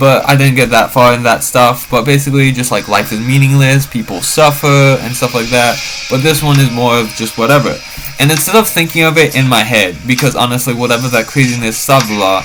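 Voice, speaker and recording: Music can be heard behind the speech. The man talks fairly quickly. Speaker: vlogger. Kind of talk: rambling monologue. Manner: fast; halting, many fillers.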